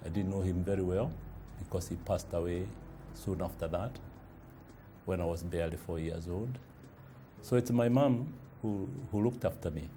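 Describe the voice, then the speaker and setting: A man with a Kenyan accent speaks in a very deep, low pitch with a dark, mellow, somewhat breathy tone and lively intonation. He leaves long, frequent pauses, and audible room echo is present. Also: moderate pace. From Kenya, Kiambu (Githunguri). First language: Kikuyu. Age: 60s. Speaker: publisher and entrepreneur. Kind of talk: interview testimony. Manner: hesitant, many fillers.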